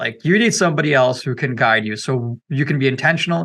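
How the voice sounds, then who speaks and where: Bright, sharp man's voice at medium pitch, with ordinary pitch variation and a moderate pace. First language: not English. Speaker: company CEO. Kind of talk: podcast interview. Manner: filler-heavy conversational.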